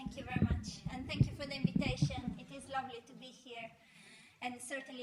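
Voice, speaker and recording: With an Italian accent, a woman speaks at a high pitch with fairly even intonation, amid noticeable background noise and audible room echo. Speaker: philosophy professor. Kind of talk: lecture. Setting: art gallery with audience.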